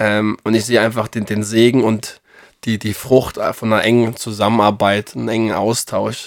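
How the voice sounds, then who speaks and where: In a flat monotone, a man with a fairly low pitch speaks at a moderate pace. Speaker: bible podcast co-host. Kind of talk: casual bible study discussion. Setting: studio, sitting together.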